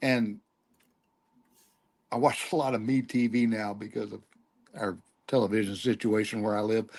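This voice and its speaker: A man with a Texan accent, medium in pitch, at a moderate pace with long, frequent pauses and fairly even intonation, against a quiet background. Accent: Texan, noticeable. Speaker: podcast guest, former performer. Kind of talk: casual chat.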